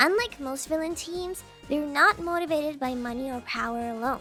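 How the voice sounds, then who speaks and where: Music plays behind a woman with a high-pitched voice and an upbeat, playful tone. She speaks at a moderate pace with ordinary pitch variation. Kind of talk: casual gaming commentary.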